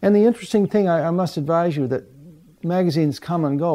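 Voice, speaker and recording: The voice has a dark, mellow tone. It moves at a very fast pace. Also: man. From Canada (small Ontario town). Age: 70s. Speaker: photographer. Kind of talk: interview monologue about career. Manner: relaxed, hesitant with fillers.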